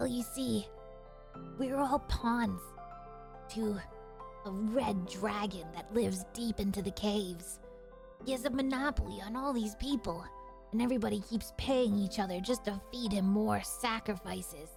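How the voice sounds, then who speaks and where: Over clear music in the background, a female-sounding put-on character voice at medium pitch moves at a moderate pace with long, frequent pauses. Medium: game stream. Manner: nervous.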